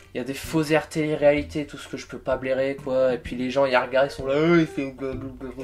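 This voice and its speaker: Using a normal speaking voice at medium pitch, a man speaks at a fairly quick pace with hardly any pauses and big swings in loudness. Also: fairly even intonation. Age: 20s. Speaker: YouTuber. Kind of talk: vlog commentary.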